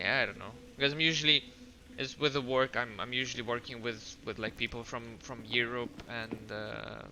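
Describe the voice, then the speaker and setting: With noticeable background noise behind him, a man speaks with fairly even intonation. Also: medium pitch for a man, moderate pace. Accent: Russian. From Russia. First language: Russian. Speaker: video game streamer. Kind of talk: casual chat. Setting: live stream. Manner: halting.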